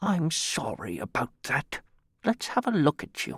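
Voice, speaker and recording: A put-on character voice delivers its lines at a middle pitch. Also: moderate pace. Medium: read story. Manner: kindly, simple.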